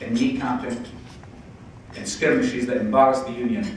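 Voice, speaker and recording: Amid noticeable background noise, a man with a Scottish accent speaks at a medium pitch, his pitch swinging very widely. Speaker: politician. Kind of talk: after-dinner speech.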